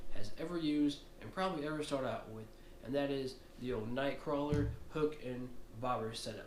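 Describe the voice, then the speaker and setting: A man with an American accent, with noticeable background noise. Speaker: fishing vlogger. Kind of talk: tutorial. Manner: casual.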